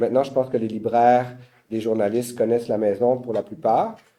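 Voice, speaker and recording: In a Quebec accent, a man speaks at a medium pitch with a dark, mellow tone. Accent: Québécois. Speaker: publisher. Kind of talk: panel talk. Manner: halting.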